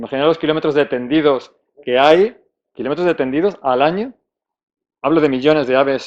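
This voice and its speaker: A man's fairly high voice with ordinary pitch variation, long, frequent pauses and a quiet background. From Spain, Salamanca. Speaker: conservation speaker at a technical conference. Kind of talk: conference talk. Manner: fast; halting, many false starts and fillers.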